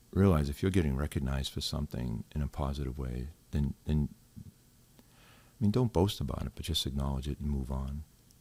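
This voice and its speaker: A man with a very deep, low pitch and a somewhat breathy voice talks at a fairly quick pace with ordinary pitch variation. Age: 60s. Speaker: retired corrections officer. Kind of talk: podcast interview. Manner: hesitant, many fillers.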